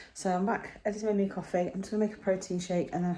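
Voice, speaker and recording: A woman with an English accent talks at a very fast pace in a dark, mellow tone. Her medium pitch stays monotone and flat. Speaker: lifestyle vlogger. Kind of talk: casual vlog chat.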